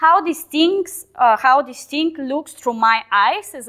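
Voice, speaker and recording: Speaking in a Balkan accent, a woman uses a high pitch and lively intonation at a fairly slow pace. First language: Balkan language, not English. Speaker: software team lead giving a talk. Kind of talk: conference talk. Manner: hesitant, with fillers.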